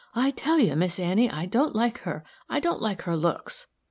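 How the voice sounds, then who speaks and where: This female-sounding voice is a put-on character voice. Its pitch sits in the medium range for a woman. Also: moderate pace. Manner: soft, complaining.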